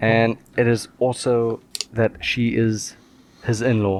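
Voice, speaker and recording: A man speaks with noticeable background noise. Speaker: podcast co-host. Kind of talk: casual chat. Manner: slow.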